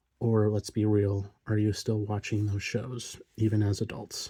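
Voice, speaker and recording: Quiet and somewhat breathy, a man speaks in a relaxed, dark, mellow tone at a fairly low pitch. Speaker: card collector youtuber. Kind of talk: casual chat. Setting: home recording at night.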